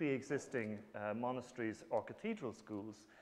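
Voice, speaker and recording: A man talks with a strong Irish accent. His pitch sits in the middle range. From Ireland. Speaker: professor. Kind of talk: lecture. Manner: halting, many fillers.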